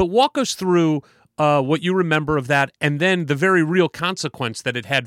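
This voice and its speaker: Speaking fairly quickly in an American accent, a man with a fairly high pitch and an unremarkable speaking voice is heard in a dry, close sound with no echo. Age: 40s. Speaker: podcast co-host. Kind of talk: casual interview. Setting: video call.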